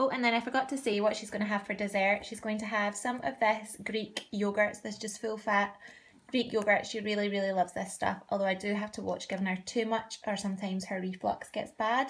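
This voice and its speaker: A somewhat breathy woman speaks at a fairly quick pace with fairly even intonation. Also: medium pitch for a woman. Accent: Scottish. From Scotland. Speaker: parenting vlogger. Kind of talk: casual vlog.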